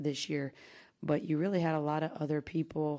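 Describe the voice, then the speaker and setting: Against a quiet background, a woman speaks at a very deep, low pitch with a dark, mellow tone and monotone, flat intonation. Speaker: basketball head coach. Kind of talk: interview answer. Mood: subdued, emotional after elimination. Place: hall. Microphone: podium.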